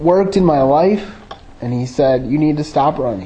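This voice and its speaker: With an Upper Midwest accent, a man speaks at a fairly high pitch with lively intonation as room echo is audible. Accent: Upper Midwest American (Michigan). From Michigan, suburban Grand Rapids. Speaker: lay preacher. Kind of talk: sermon with personal testimony. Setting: church.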